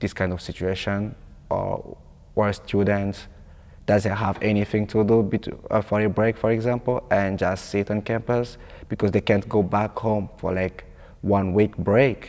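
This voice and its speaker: The man's intonation is monotone and flat, at a fairly low pitch. He speaks at a fairly slow pace. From Congo. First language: French. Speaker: international student. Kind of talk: interview testimony.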